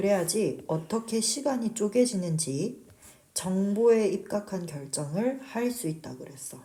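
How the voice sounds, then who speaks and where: A woman talks at a very slow pace in a somewhat breathy voice with a dark, mellow tone, her loudness swinging widely amid audible room echo. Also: medium pitch for a woman, lively intonation. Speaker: English teacher. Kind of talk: lecture.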